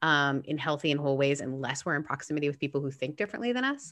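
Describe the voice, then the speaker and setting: A woman talks very fast. She has a slight Southern California accent. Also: quiet background. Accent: slight Valley girl like speech. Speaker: podcast host and pastor. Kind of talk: casual chat.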